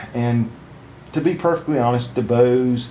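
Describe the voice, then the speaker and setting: A man's medium-pitched voice at a fairly slow pace. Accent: Southern US. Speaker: product reviewer. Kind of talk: product review. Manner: halting, many fillers.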